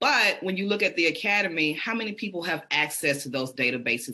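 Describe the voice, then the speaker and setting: A woman with a Southern accent speaks at a fairly quick pace with lively intonation over noticeable background noise. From US South, Birmingham, Alabama. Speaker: PhD researcher and podcaster. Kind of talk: interview.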